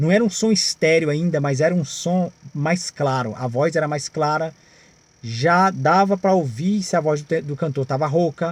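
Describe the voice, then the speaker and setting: Talking at a moderate pace, a man uses ordinary pitch variation at a fairly high pitch. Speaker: singer and music channel host. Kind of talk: casual video talk about music history.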